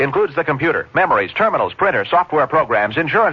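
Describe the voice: The pace is fast. Pitch swings are big. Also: man.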